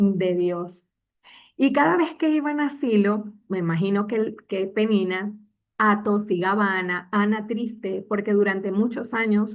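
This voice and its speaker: Moderately paced female speech in a plain, everyday voice, medium-pitched with ordinary pitch variation. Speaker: church preacher giving a sermon. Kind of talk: sermon.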